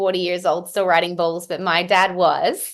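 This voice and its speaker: A woman talks with an American accent at a medium pitch. Her pace is moderate. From Australia. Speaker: country singer and entrepreneur. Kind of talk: interview.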